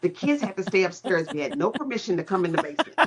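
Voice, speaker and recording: A woman talks in a fairly low pitch, with vocal fry. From Kentucky (Louisville). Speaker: politician and retired military lawyer. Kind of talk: interview conversation.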